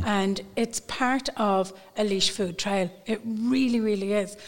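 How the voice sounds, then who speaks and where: Recorded very cleanly against a silent background, a woman with a Dublin accent speaks at medium pitch with ordinary pitch variation. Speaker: tour guide.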